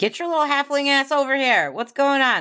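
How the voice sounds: A put-on character voice, female-sounding and high-pitched, at a fairly quick pace on a very clean recording with a silent background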